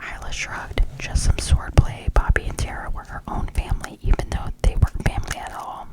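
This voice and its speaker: The voice is whispering at a moderate pace. Behind it, there is noticeable background noise. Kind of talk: read story. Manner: whispered.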